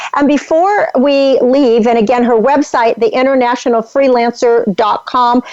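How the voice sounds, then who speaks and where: A woman talks in a high voice with ordinary pitch variation, keeping a moderate pace. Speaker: talk show host. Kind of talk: interview.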